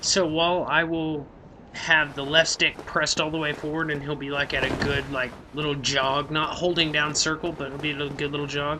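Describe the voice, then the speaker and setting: A man with an American accent speaks fairly quickly in a fairly high, monotone, flat voice against noticeable background noise. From Oklahoma City, US. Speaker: gaming youtuber. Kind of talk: let's play commentary. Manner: casual, hesitant with fillers.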